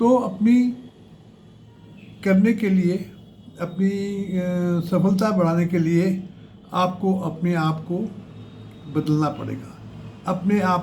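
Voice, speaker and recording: The speech shows ordinary pitch variation, and room echo is audible. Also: man. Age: 80s+. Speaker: career advice youtuber. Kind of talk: tutorial. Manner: halting, with fillers.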